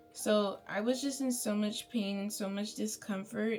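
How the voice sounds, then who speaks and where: With music in the background, a woman in an American accent speaks very slowly at a fairly high pitch, using ordinary pitch variation. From Bay Area, California. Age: 20s. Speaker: beauty vlogger. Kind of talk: storytime. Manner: chatty, casual.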